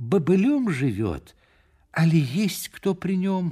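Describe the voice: In a put-on character voice, a man speaks slowly at a high pitch with big pitch swings, a dark, mellow tone and a slightly husky edge, on a very clean recording with a silent background.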